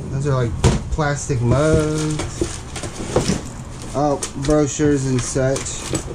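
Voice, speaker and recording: Someone speaks at a very slow pace over loud background noise. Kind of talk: casual vlog chat. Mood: amused, curious. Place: street. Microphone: phone near.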